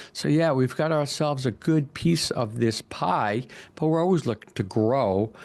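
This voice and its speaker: A man with a New York accent. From Long Island, New York. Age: 60s. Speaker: commercial real estate broker. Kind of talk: interview.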